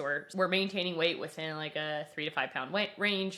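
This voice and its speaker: A woman's fairly low-pitched voice, bright and sharp in tone, with ordinary pitch variation. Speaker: nutrition coach, founder of a nutrition company. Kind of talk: podcast interview. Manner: fast.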